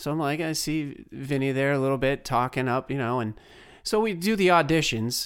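A man uses an ordinary speaking voice at a fairly high pitch, with ordinary pitch variation and a moderate pace. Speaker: podcast host. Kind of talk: interview.

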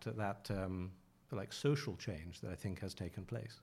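Somewhat breathy and dark, mellow in tone, a man speaks at a moderate pace with ordinary pitch variation in a very clean recording with a silent background. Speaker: journalist and author. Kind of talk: interview.

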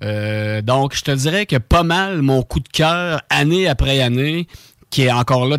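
This man has an unremarkable speaking voice, medium in pitch with ordinary pitch variation, and talks at a fairly slow pace. The recording is very clean, with a silent background and a dry, close sound with no echo. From Quebec, Bellechasse region. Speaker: radio co-host. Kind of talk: casual radio chat. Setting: radio studio.

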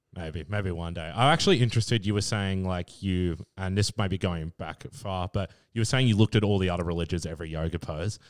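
A man with an Australian accent talks at a very fast pace in a very deep, low voice. The sound is dry and close, with no echo. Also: ordinary pitch variation, hardly any pauses, very clean recording, silent background. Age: 20s. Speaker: podcast co-host. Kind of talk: casual chat. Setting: at the guest's home.

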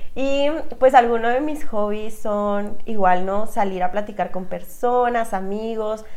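A woman with a northern Mexican accent speaks at a very slow pace, her pitch fairly high with ordinary variation. Noticeable background noise can be heard. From Chihuahua, northern Mexico. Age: 20s. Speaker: podcast co-host. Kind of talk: casual chat.

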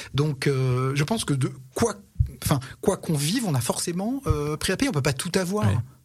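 With lively intonation and a somewhat breathy, fairly high-pitched voice, a man speaks at a moderate pace. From Paris region, France (Antony). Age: 60s. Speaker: podcast guest. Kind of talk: casual chat.

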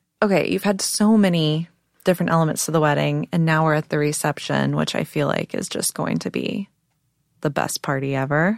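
A woman with an American accent speaks at a fairly quick pace. The recording is very clean, with a silent background and a dry, close sound with no echo. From Texas. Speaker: podcast host. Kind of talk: interview chat. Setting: studio.

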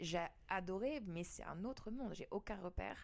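A woman's ordinary speaking voice at a medium pitch and moderate pace, with ordinary pitch variation. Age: 30s. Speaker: singer. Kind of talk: casual chat.

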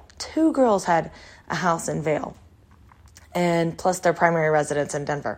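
With an American accent, a woman talks fairly quickly in a plain, everyday voice, fairly low in pitch and with ordinary pitch variation. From Texas. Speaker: podcast host. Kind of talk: personal storytelling monologue. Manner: casual, conversational with fillers.

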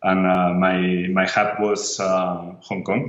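Very deep, low male voice, intonation fairly even, room echo audible. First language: Spanish or Catalan. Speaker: tech company CEO. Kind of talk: interview. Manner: halting.

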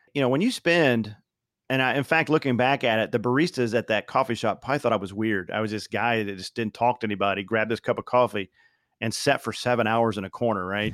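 A man with a Midwestern American accent, medium pitch and ordinary pitch variation at a fairly quick pace, on a very clean recording with a silent background. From Southern Indiana, US Midwest. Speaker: professional speaker and author, army veteran. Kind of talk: interview conversation.

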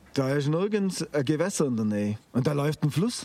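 His voice swings very widely up and down in pitch as the man talks. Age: 50s. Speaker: organic farmer. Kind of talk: interview. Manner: hesitant, with filler sounds.

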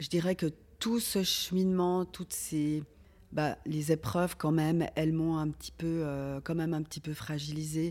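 Recorded very cleanly against a silent background, a woman talks at a fairly slow pace in a very deep, low voice with fairly even intonation. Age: 40s. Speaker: organ transplant recipient. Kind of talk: testimony. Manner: halting.

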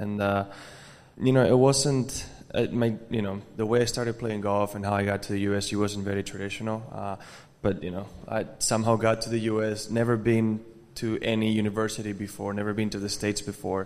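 A man speaks in an American accent at a fairly low pitch. His tone is slightly mellow, and his pitch moves little. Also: fairly quick pace.

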